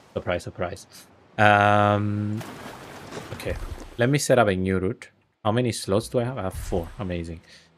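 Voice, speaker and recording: A man with a Greek accent speaks at a moderate pace in a fairly low pitch, with ordinary pitch variation. Long, frequent pauses break up his speech. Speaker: gaming streamer. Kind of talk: live gameplay commentary. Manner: casual, thinking aloud.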